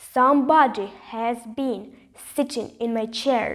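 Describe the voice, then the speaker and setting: A woman puts on a gruff character voice, pitched high and delivered at a fairly slow pace. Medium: read story.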